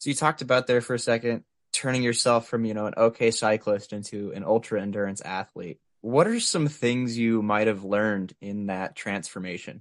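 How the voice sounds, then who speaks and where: A man with a plain, everyday voice, medium pitch, ordinary pitch variation and a fairly quick pace, over a quiet background. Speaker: interviewer. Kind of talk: casual chat.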